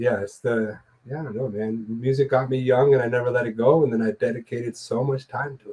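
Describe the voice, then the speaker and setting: Very fast and somewhat breathy, the voice has a dark, mellow tone and big swings in loudness. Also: man, medium pitch for a man. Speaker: musician and show co-host. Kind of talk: casual chat. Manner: animated.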